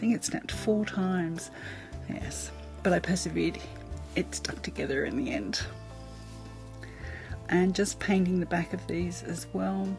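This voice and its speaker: Over music in the background, a woman with an Australian accent speaks at a fairly slow pace with long, frequent pauses. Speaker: mixed media artist. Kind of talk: craft tutorial voice-over. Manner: casual, chatty.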